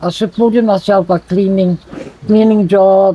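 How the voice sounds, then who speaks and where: Fairly slow, fairly evenly intoned speech from a man with a high voice, over noticeable background noise. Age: 70s. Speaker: harmonica player. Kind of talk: interview answer.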